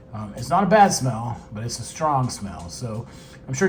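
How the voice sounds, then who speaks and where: Audible room echo and noticeable background noise surround the recording. A man speaks fairly slowly at a fairly high pitch. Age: 60s. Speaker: beekeeping youtuber. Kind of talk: casual product unboxing and demo. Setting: at home, later outdoors. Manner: casual, hesitant with many fillers.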